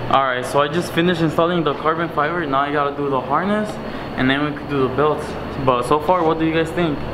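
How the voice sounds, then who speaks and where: A man talks very fast while noticeable noise sounds in the background. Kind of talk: casual vlog chat. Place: garage. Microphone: phone near.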